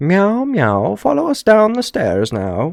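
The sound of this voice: A man uses a high-pitched, put-on character voice at a fairly slow pace.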